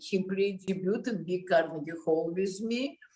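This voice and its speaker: A woman with a Russian accent at a fairly slow pace. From Russia, Moscow. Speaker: concert pianist. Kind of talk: interview conversation. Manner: halting.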